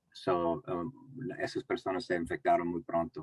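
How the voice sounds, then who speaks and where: In an English accent, a man speaks at a fairly slow pace, the sound dry and close with no echo. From United States (born in Mexico). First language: English (speaking Spanish). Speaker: community health speaker. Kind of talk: panel presentation. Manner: halting, many fillers.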